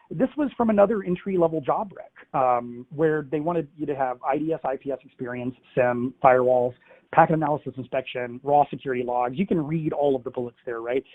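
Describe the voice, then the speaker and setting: A man's ordinary speaking voice, fairly high in pitch, with ordinary pitch variation and a fairly quick pace. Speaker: cybersecurity research analyst. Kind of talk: webinar presentation. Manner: conversational with many fillers.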